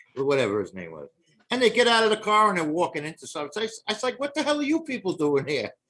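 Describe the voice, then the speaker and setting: Talking at a very fast pace with a New York accent, a man sounds animated, his high, bright, sharp voice making very wide pitch swings and big swings in loudness. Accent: noticeable New York. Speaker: podcast guest. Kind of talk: casual chat. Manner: animated storytelling.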